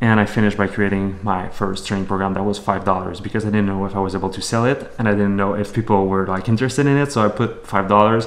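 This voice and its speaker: A man at a very fast pace with hardly any pauses, fairly even intonation and noticeable background noise. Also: fairly low pitch for a man. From Quebec, Canada (Montreal). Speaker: entrepreneur, fitness model, vlogger. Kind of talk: vlog monologue.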